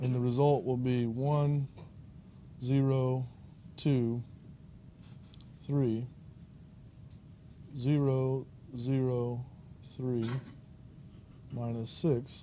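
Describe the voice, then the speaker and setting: Heard with audible room echo, a man of medium pitch speaks in a dark, mellow tone with monotone, flat intonation. His pace is very slow, with long, frequent pauses. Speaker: university lecturer. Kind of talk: lecture. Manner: halting with fillers.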